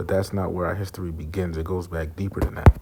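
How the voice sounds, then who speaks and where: A soft-spoken voice in a monotone, flat intonation, with noticeable background noise. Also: man. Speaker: religious teacher. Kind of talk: religious lesson. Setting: semi-public place. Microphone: too quiet.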